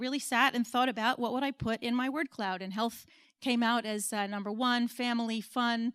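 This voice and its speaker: On a very clean recording with a silent background, a woman with an American accent speaks at a fairly quick pace in a plain, everyday voice, fairly high in pitch with fairly even intonation. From United States. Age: 40s. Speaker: business consultant and speaker. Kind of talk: conference talk.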